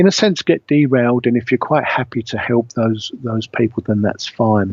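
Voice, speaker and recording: Recorded with a dry, close sound and no echo, a man speaks at a moderate pace with a medium pitch. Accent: British. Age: 60s. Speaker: spiritual medium. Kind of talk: radio interview talk. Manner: halting, with many fillers.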